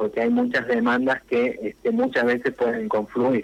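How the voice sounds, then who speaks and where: The pace is moderate. The speaker is a man. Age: 40s. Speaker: local politician. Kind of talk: radio interview.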